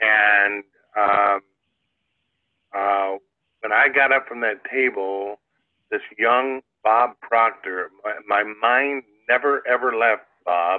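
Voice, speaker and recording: A man's medium-pitched voice with a Midwestern American accent and fairly even intonation. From US Midwest, Iowa. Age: 70s. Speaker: inventor and entrepreneur. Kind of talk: interview storytelling. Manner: halting, many fillers.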